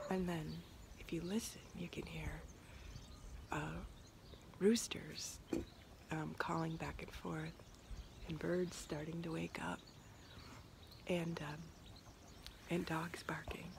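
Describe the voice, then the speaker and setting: Audible room echo surrounds a woman who speaks very slowly with long, frequent pauses. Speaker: reality show contestant, ocean activist. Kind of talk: video diary. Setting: outdoors at surf camp.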